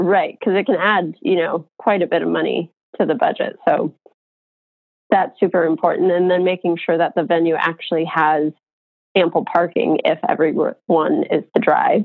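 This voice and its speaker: In an American accent, a woman talks at a moderate pace with very even loudness. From Colorado. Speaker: wedding venue owner. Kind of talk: interview.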